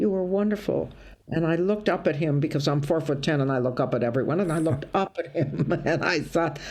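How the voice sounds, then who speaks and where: In a Midwestern accent, a woman with a very deep, low pitch talks at a fairly quick pace, with ordinary pitch variation and very even loudness. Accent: American (Midwest). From US Midwest, Toledo, Ohio. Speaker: stand-up comedian. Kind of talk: casual interview chat. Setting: video call. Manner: animated storytelling.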